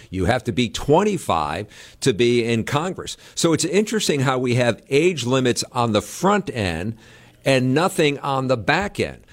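A man speaks at a medium pitch and a fairly slow pace, with very wide pitch swings and vocal fry. The recording is very clean, with a silent background. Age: 60s. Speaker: political reporter. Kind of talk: casual interview.

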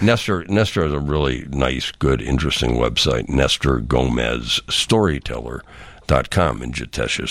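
Speaking at a moderate pace with an American accent, a man's very deep, low voice comes through noticeable background noise. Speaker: radio host. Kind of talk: casual interview. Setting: studio.

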